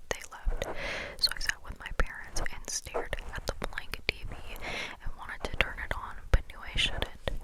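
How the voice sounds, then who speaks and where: Noticeable background noise accompanies a whisper delivered at a moderate pace. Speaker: ASMR creator. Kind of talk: ASMR book reading. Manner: whispered.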